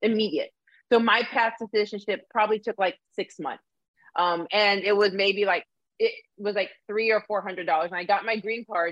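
With an ordinary speaking voice, this woman keeps a medium pitch and fairly even intonation, talking at a moderate pace. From Arizona, US (born in Canada). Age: 40s. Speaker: diversity educator and former college coach. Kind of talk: live-streamed interview conversation. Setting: live video stream.

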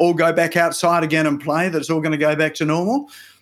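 Fairly high in pitch, a man talks in an ordinary speaking voice with fairly even intonation. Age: 50s. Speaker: web developer and digital marketing business owner. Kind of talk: interview conversation. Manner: frequent fillers and repetitions.

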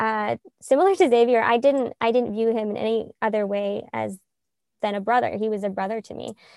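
A woman's fairly high voice with an American accent, dark and mellow in tone, in a dry, close sound with no echo. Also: very clean recording, silent background. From US South, Middle Tennessee. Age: 20s. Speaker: Messianic believer, betrothed woman. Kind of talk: testimony.

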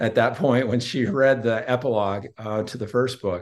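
Using a plain, everyday voice, this man talks at a medium pitch, and his pitch varies in an ordinary way. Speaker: author and public relations spokesman. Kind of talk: casual interview.

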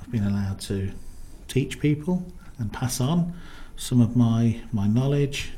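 A man with a medium-pitched, somewhat breathy voice and a dark, mellow tone talks at a fairly slow pace with lively intonation and long, frequent pauses. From Coventry, England. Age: 40s. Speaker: nurse. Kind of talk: interview. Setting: studio. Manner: hesitant, many fillers.

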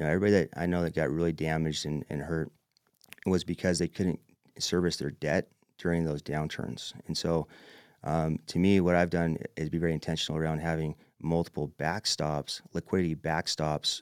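At a fairly quick pace, a man speaks with a very deep, low pitch in a very clean recording with a silent background and a dry, close sound with no echo. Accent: American. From Utah. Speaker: real estate investor. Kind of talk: casual interview. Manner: energetic.

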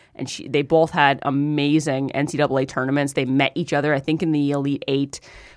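On a very clean recording with a silent background, a woman speaks with a very deep, low pitch. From small-town Ontario, Canada. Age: 30s. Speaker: sports commentator guest. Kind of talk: casual chat. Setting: studio.

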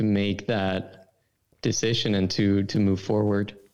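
This man has a Swedish accent and a fairly low pitch. He speaks at a fairly slow pace. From Sweden. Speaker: brand consultant. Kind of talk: casual interview chat.

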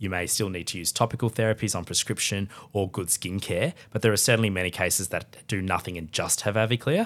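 A man's very fast, fairly low-pitched speech with an Australian accent. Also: fairly even intonation, hardly any pauses, very clean recording, silent background. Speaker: dermatologist. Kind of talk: interview. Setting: hotel room at a conference.

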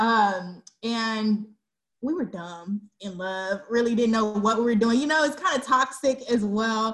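At a fairly slow pace, a woman talks with a fairly high pitch. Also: ordinary pitch variation. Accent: Texan. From Texas, Dallas. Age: 20s. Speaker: single moms community founder. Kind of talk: casual chat.

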